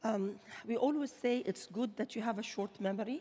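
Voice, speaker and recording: At a moderate pace, a woman with an Arabic accent speaks with ordinary pitch variation. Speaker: bank chief executive; panelist. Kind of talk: panel discussion. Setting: stage with audience. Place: stage.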